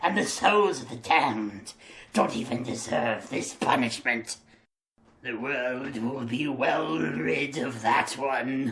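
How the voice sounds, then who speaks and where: Someone uses a put-on character voice at a low-to-middle pitch and a fairly slow pace. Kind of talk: character voice demo. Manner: disgusted, indignant.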